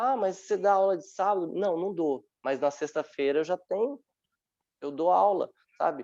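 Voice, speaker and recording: A man talks with lively intonation. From Brazil, São Paulo metro area (Francisco Morato). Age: 30s. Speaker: dance teacher and dancer. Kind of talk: online panel talk.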